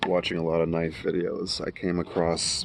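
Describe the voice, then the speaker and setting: A man speaks with an American accent at a very deep, low pitch. The background is quiet. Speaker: YouTuber reviewing knives. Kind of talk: casual product review vlog. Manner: quiet, kept low.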